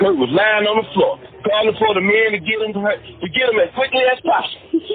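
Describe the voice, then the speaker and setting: A man's lively, bouncing intonation over background music. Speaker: narrator of true online stories. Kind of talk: comedic audiobook-style story narration. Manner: animated, theatrical, reacting with exclamations.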